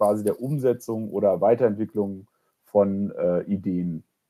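Recorded very cleanly against a silent background, a man with a dark, mellow tone speaks at a fairly slow pace with ordinary pitch variation. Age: 30s. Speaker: incubator program manager. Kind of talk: podcast interview. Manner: hesitant, many filler sounds.

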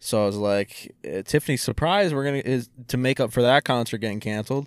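At a fairly quick pace, a man with an unremarkable speaking voice talks with ordinary pitch variation on a very clean recording with a silent background. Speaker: podcast co-host. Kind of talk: casual chat. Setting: in a parked car.

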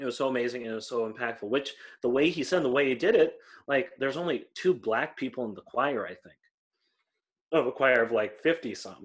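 A man with an American accent speaks at a fairly quick pace, his medium pitch moving with ordinary variation. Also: big swings in loudness. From US Midwest. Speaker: podcast co-host. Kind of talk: casual chat.

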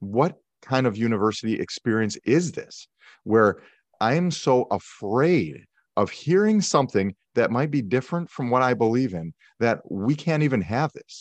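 A man with an American accent and a plain, everyday voice, medium in pitch, with lively intonation at a moderate pace, in a dry, close sound with no echo and a quiet background. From US Midwest, Milwaukee, Wisconsin. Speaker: police negotiator. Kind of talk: interview conversation.

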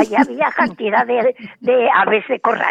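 A woman is speaking. Her pace is fairly slow. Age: 80s+. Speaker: radio program contributor. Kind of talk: casual chat.

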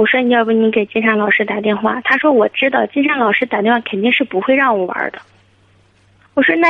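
A woman at a fairly high pitch with ordinary pitch variation, at a very fast pace, amid noticeable background noise. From Hebei, China. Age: 30s. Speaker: caller, supermarket owner. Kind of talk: phone-in advice call.

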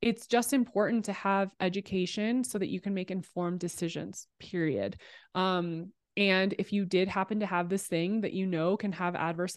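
A woman with a plain, everyday voice speaks at a moderate pace and a medium pitch, with fairly even intonation. The sound is dry and close with no echo, against a quiet background. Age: 30s. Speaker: podcast producer and former sports TV host. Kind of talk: casual interview.

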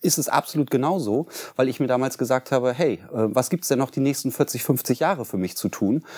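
A man speaks in a normal speaking voice at a medium pitch and a moderate pace. His pitch shows ordinary variation on a very clean recording, silent background. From Germany, Bremen. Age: 40s. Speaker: cleaning company founder. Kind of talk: interview. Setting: studio.

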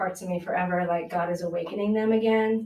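Monotone, flat intonation in a space with audible room echo. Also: woman. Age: 50s. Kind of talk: casual chat.

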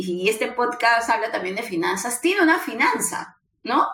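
A woman with a high voice speaks with very wide pitch swings. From Peru. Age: 40s. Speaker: recruiter and career mentor. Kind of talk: casual interview.

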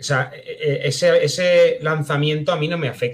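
With fairly level intonation, a man talks in a somewhat breathy way. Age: 30s. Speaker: novelist. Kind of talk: casual chat.

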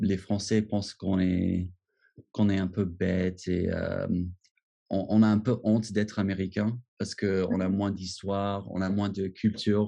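A man with an English accent speaks in a fairly low, dark, mellow voice with flat, monotone intonation. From US, Washington. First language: English (speaking French). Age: 30s. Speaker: expat. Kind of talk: interview. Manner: halting, many repetitions.

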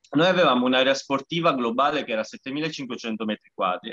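A man's bright, sharp tone at a fairly quick pace, lively intonation, and a dry, close sound with no echo. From Sicily. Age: 30s. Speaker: parkour association president. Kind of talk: casual interview.

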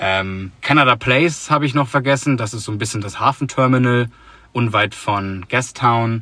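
Bright and sharp in tone, a man's voice sits at a fairly low pitch. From northern Germany, Hamburg. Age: 20s. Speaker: podcast host, exchange student. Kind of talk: casual chat. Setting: in a parked car.

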